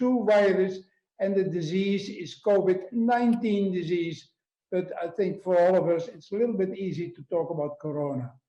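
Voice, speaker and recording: Pitched high with ordinary variation, a man with a Dutch accent and a dark, mellow tone talks at a moderate pace amid audible room echo. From Netherlands. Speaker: obstetrics professor. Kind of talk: lecture.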